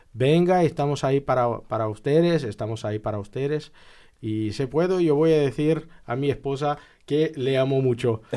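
With a Brazilian accent, a man speaks at a fairly high pitch and a moderate pace. His tone is dark and mellow, with ordinary pitch variation. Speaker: graduate student and commission member. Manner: halting.

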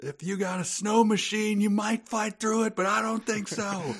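A man puts on a character voice, high in pitch. He keeps a moderate pace and fairly even intonation. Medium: game stream. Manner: blunt, commanding.

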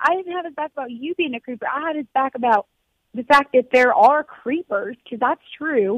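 Recorded dry and close with no echo, a woman speaks at a moderate pace with lively intonation and big swings in loudness. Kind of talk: casual chat.

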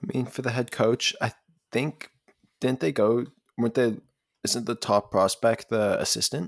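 A man's medium pitch at a moderate pace, fairly even intonation, long, frequent pauses, and a dry, close sound with no echo. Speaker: radio host. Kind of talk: casual sports chat. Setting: campus radio studio.

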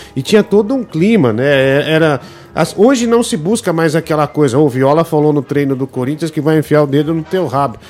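A plain, everyday voice, delivered with lively intonation. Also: man, fairly high pitch for a man, moderate pace. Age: 30s. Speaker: football podcast host. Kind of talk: casual chat.

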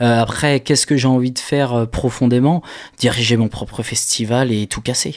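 A man with a plain, everyday voice speaks at a moderate pace and medium pitch, keeping his intonation fairly even. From Maine-et-Loire, western France. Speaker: concert organiser. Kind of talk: radio interview.

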